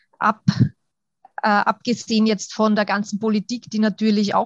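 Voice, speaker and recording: Somewhat breathy and fairly high-pitched, a woman speaks at a moderate pace in a dry, close sound with no echo. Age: 30s. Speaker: kindergarten teacher and coach. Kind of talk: interview.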